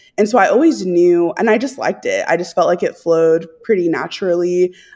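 A plain, everyday voice with an American accent talks at a moderate pace in a very clean recording with a silent background. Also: woman. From Texas. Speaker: missionary. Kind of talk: casual chat.

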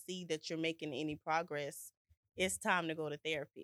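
A woman with a plain, everyday voice, fairly low pitch, fairly quick pace and ordinary pitch variation, in a dry, close sound with no echo and a very clean recording with a silent background. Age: 30s. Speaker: ministry partner and entrepreneur. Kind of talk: casual chat.

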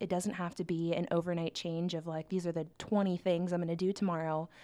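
A woman's fairly low-pitched voice with a Midwestern American accent, dark and mellow in tone, on a very clean recording with a silent background. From Nebraska, Omaha. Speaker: university program coordinator. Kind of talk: casual chat. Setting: studio.

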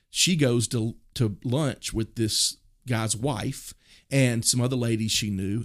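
A medium-pitched male voice with a Southern US accent and ordinary pitch variation, on a very clean recording with a silent background. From US South, Mississippi. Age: 40s. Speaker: pastor. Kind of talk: podcast interview. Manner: casual, hesitant with fillers.

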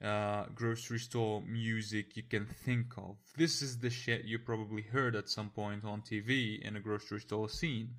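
Over a very clean recording with a silent background, a man of medium pitch talks at a moderate pace with hardly any pauses. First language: not English (English is third language). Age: 20s. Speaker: podcast host, music reviewer. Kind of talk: casual solo podcast monologue, rambling with fillers. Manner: hesitant, filler-heavy, casual, profane.

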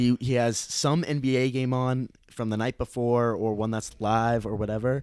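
A man with an American accent, medium in pitch, at a moderate pace. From US Midwest, Illinois. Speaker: podcast guest. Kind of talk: casual chat.

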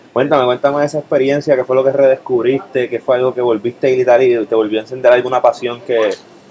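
Over noticeable background noise, a man rattles along at a very fast pace with hardly any pauses. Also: medium pitch for a man, fairly even intonation. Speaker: co-host. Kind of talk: casual interview.

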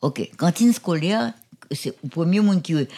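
A woman speaks at a fairly low pitch with very wide pitch swings. The recording is very clean, with a silent background. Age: 80s+. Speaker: school founder. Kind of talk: interview.

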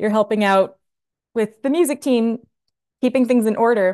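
A woman with an American accent talks at a very fast pace and a fairly high pitch, with ordinary pitch variation against a quiet background. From New Jersey. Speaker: music director. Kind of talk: interview.

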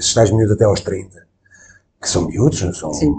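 Using vocal fry and lively intonation, a man with a dark, mellow tone talks at a moderate pace. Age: 40s. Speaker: podcast host. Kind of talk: interview conversation. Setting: on location in a restaurant.

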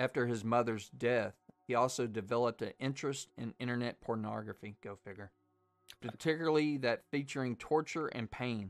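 A man with a Southern US accent at a fairly quick pace, ordinary pitch variation, dry, close sound with no echo, and music in the background. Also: medium pitch for a man. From US South, Arkansas. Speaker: horror podcast host. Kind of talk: casual chat.

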